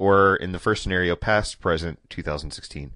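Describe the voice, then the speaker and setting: A man talks at a moderate pace in a fairly low pitch with ordinary pitch variation, in a plain, everyday voice. The sound is dry and close with no echo, over a quiet background. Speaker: podcast co-host. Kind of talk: casual comedy podcast chat.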